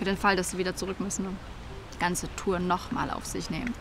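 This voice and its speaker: A woman at a fairly quick pace, in a dry sound with no echo and noticeable background noise. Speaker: fictional interview character. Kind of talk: interview answer, comedic monologue. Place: garden. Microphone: lapel.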